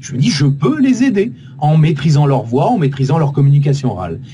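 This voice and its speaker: Noticeable background noise sits behind a man's voice. He speaks at a moderate pace and a fairly high pitch. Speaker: voice actor and radio host. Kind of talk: interview answer. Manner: dynamic.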